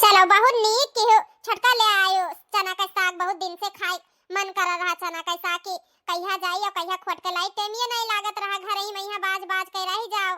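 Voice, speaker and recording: A woman's cartoonish character voice, extremely high and flat in monotone, fairly quick, with a dry, close sound and no echo. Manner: chatty, homely.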